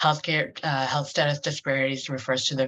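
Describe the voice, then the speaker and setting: Her intonation stays flat and monotone. The woman's pitch is very deep and low. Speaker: webinar presenter. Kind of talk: lecture. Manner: hesitant, many fillers.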